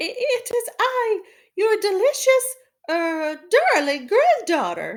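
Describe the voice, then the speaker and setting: Someone puts on a character voice and delivers the lines rather slowly. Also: woman, extremely high pitch for a woman. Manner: fake sweet, slipping.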